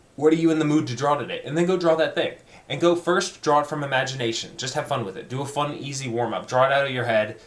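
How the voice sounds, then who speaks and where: A man with a fairly high pitch talks at a very fast pace in an animated tone over noticeable background noise. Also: ordinary pitch variation. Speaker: art student video diarist. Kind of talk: personal video diary monologue. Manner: speeds up and gets more animated.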